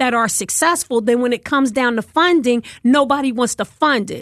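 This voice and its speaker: With an American accent, a woman talks loudly at a moderate pace in a high voice with lively intonation, the sound dry and close with no echo over a quiet background. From West Philadelphia. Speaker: politician. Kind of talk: interview.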